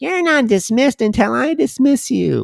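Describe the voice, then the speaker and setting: In a put-on character voice, the speaker talks at a moderate pace and a fairly high pitch. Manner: mocking.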